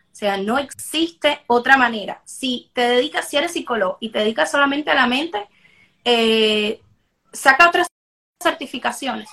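A woman's high-pitched voice with a bright, sharp tone, lively intonation and a moderate pace. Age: 20s. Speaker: life coach. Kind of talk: interview.

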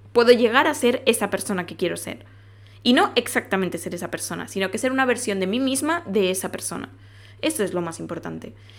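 This woman's voice sits fairly high and shows vocal fry. Her intonation is lively. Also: big swings in loudness. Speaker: podcast host. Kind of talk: casual monologue. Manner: fast.

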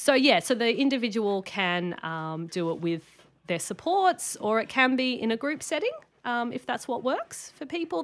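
A woman with an Australian accent at a moderate pace, her pitch swinging very widely. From Sydney, Australia (eastern suburbs). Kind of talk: podcast interview.

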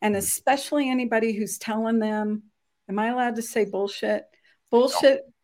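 A woman talks at a fairly quick pace with fairly even intonation and a fairly high pitch, in an ordinary speaking voice, on a very clean recording with a silent background. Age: 60s. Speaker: former army nurse and business owner. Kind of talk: interview.

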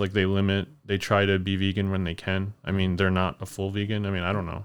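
A man with an American accent talks at a fairly low pitch and a fairly quick pace, with hardly any pauses. His intonation is monotone and flat, in a very clean recording with a silent background. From upstate New York. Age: 40s. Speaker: trading card shop owner. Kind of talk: casual interview chat. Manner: soft-spoken, deadpan.

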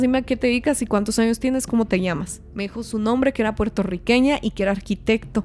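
Here a woman has a plain, everyday voice, pitched fairly high with ordinary pitch variation. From Mexico, Chihuahua. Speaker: podcast host. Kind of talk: casual chat. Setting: studio.

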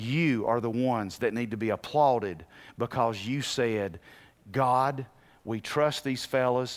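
Recorded very cleanly against a silent background, a man has a normal speaking voice at medium pitch with ordinary pitch variation. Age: 50s. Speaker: pastor. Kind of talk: sermon. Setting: church.

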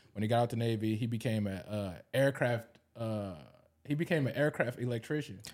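Here a man talks at a moderate pace and medium pitch, with ordinary pitch variation. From South Central Los Angeles, US. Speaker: gaming community manager. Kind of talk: casual interview. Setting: studio.

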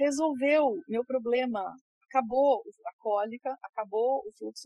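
Her high-pitched voice dark and mellow in tone, a woman speaks at a very slow pace with long, frequent pauses, big swings in loudness and ordinary pitch variation, in a dry, close sound with no echo. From interior of São Paulo state, Brazil. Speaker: yoga teacher. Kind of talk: casual interview chat.

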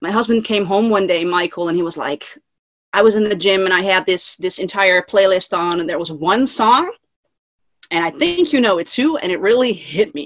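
Her intonation is lively and her pitch medium. This woman speaks with a Dutch accent. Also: moderate pace. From Netherlands. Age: 40s. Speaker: band fan community creator. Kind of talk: casual interview chat.

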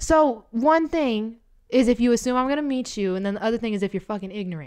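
Against a quiet background, a woman talks with a Southern US accent. Her pitch is high and swings very widely. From US South. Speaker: flight attendant. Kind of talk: casual chat.

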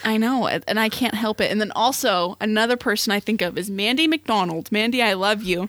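In a normal speaking voice, a woman talks fairly quickly with hardly any pauses, her fairly high pitch varying in an ordinary way and her loudness very even, on a very clean recording with a silent background. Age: 20s. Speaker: podcast co-host, student photographer. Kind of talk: casual chat.

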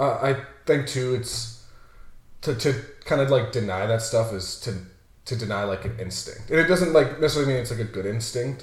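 Somewhat breathy, a man of medium pitch speaks at a fairly quick pace with ordinary pitch variation and long, frequent pauses. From Massachusetts. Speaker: customer service worker at a betting company. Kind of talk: casual chat.

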